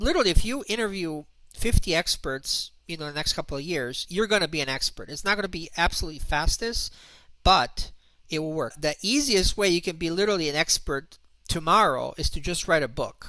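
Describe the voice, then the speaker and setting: A man with a non-native accent, high-pitched, with a bright, sharp tone and a fairly quick pace. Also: lively intonation. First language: not English. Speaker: internet marketer and author. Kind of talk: online presentation. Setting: video call hangout. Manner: halting, many fillers.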